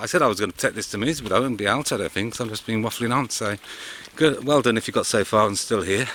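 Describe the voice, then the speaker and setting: Amid noticeable background noise, a man speaks very fast at a fairly low pitch with ordinary pitch variation. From Worcestershire, English West Midlands. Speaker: vlogger. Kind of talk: casual vlog. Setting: outdoors.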